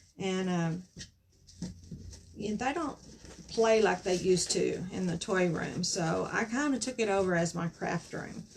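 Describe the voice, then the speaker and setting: With a Southern US accent, a woman speaks at a fairly slow pace with long, frequent pauses while noticeable background noise plays. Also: medium pitch for a woman, ordinary pitch variation. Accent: US South. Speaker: craft youtuber. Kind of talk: craft tutorial. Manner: halting, frequent um.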